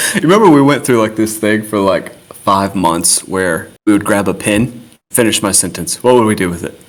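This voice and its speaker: Speaking at a moderate pace, a man has a plain, everyday voice, fairly low in pitch with ordinary pitch variation. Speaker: podcast host, military veteran. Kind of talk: casual chat.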